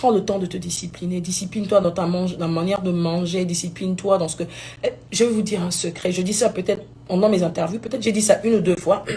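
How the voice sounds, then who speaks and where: This woman talks at a very fast pace with fairly even intonation. Her pitch is medium, and background noise is noticeable. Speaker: gospel singer. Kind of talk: live video talk. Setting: live stream.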